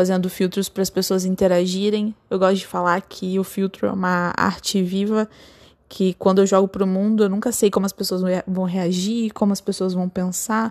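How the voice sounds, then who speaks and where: The recording is very clean, with a silent background. A woman speaks at a moderate pace in a flat monotone. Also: medium pitch for a woman. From interior of Rio de Janeiro state, Brazil. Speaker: podcast host, designer. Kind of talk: casual solo monologue. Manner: playful, humorous.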